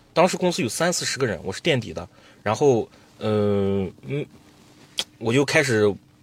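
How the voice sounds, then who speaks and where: At a moderate pace, a man with a medium pitch makes very wide pitch swings and pauses long and often. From Xinjiang, Altay. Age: 20s. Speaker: jade trader and livestream seller. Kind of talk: interview storytelling.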